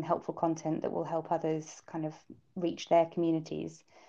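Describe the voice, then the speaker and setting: A woman speaks with a British accent and a fairly low pitch. Her tone is dark and mellow, over a quiet background. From UK. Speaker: startup founder. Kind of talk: interview. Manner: halting, filler-heavy.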